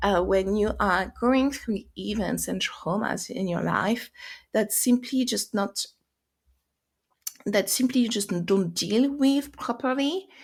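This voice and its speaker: A woman with a French accent speaks at a very slow pace and a fairly high pitch. Her voice has vocal fry and ordinary pitch variation. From France. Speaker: life purpose and mindset coach. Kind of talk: podcast monologue. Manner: halting, many fillers and restarts.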